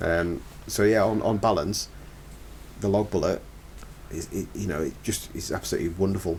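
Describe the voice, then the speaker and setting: A man with a Cumbrian accent speaks at a moderate pace in a very deep, low pitch, with ordinary pitch variation and long, frequent pauses. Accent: northern English (Cumbrian). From northern England, Lake District. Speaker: forestry contractor. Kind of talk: podcast interview. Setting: podcast recording.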